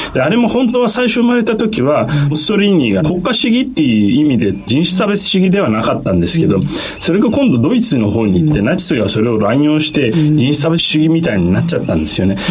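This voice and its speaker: Talking very fast with hardly any pauses, a man with a fairly high pitch swings his pitch very widely while keeping his loudness very even, amid noticeable background noise and audible room echo. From Turkey. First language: Turkish (speaking Japanese). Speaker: economist. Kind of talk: radio interview.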